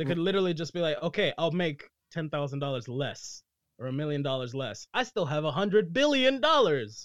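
A man's fairly high, lively voice at a fairly quick pace, a plain, everyday voice over a quiet background. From US-born, Nicaraguan family; moved back and forth. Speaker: actor, musician and content creator. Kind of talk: casual chat.

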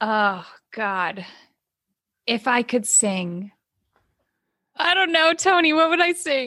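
With an American accent and a bright, sharp tone, this voice moves at a very slow pace with long, frequent pauses and very wide pitch swings. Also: woman, high pitch for a woman. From California, Oakland. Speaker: cookbook author. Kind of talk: casual interview.

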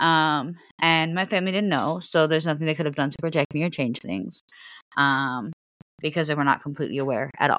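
A woman with an American accent has a very deep, low pitch and ordinary pitch variation. She speaks at a fairly quick pace. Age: 30s. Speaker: podcast host. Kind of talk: casual chat.

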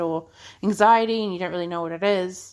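This recording is very clean, its background silent. A woman talks with ordinary pitch variation. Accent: Australian. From Australia. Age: 30s. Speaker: podcast host. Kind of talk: casual monologue.

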